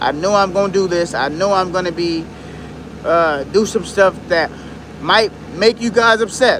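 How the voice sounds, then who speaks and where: A man speaks at a high pitch, leaving long, frequent pauses. Noticeable background noise runs underneath. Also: ordinary pitch variation, moderate pace. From Detroit, Michigan. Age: 30s. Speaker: YouTuber. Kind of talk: livestream casual talk. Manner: halting.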